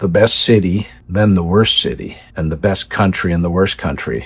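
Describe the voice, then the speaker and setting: A man with a very deep, low voice and vocal fry speaks at a moderate pace on a very clean recording with a silent background. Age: 50s. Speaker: travel vlogger. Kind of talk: casual monologue. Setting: on a cruise ship. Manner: halting, many repeated words.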